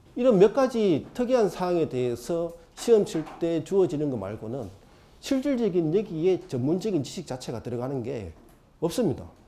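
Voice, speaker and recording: A man with a high pitch and a dark, mellow tone speaks. His voice shows very wide pitch swings and big swings in loudness. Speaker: exam prep lecturer. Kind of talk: lecture. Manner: fast.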